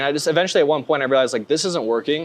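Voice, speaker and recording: An ordinary speaking voice with an American accent carries ordinary pitch variation. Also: man. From US West Coast, northern California. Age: 20s. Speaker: sales closer. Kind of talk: interview.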